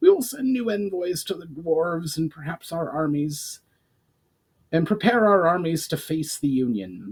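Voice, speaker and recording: A man puts on a character voice pitched high. He speaks at a moderate pace. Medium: read story. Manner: formal, commanding.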